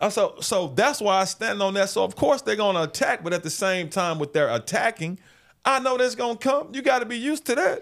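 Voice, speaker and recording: In a very clean recording with a silent background, the speech has lively intonation. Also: man, high pitch for a man, fairly quick pace. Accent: American. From Memphis, Tennessee, US South. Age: 50s. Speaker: sports journalist. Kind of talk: casual interview. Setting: studio.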